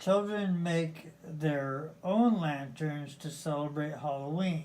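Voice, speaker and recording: In a put-on character voice, the speaker talks at a very slow pace with a middle pitch. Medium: read story. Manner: gentle.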